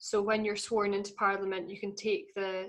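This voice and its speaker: In a northeastern Scottish accent, the voice keeps a moderate pace with monotone, flat intonation. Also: woman. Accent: Scottish, north-east (Doric). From Scotland, Aberdeenshire. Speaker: folk singer and language activist. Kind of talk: podcast interview.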